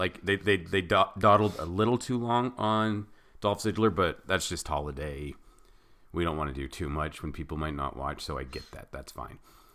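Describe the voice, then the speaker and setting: A bright, sharp, animated voice with vocal fry and lively intonation at a moderate pace, on a very clean recording with a silent background. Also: man, very deep, low pitch for a man. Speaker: wrestling podcast co-host. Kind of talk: casual banter. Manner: animated, jokey.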